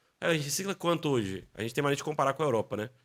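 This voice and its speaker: Vocal fry marks this man's fairly high voice as he talks very fast with very wide pitch swings. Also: very clean recording, silent background. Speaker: business executive in construction waste recycling. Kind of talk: podcast interview.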